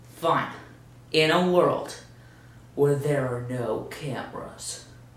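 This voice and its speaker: The woman speaks at a very slow pace. Noticeable background noise runs behind her. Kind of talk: comedic sketch, casual banter. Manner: exasperated, playful.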